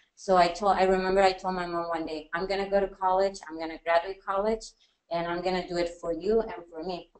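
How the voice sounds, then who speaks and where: A woman's medium-pitched voice in a Spanish accent, with monotone, flat intonation at a fairly quick pace. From Mexico (Jalisco). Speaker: teacher. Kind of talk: personal testimony on a panel. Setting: university workshop with audience, webinar.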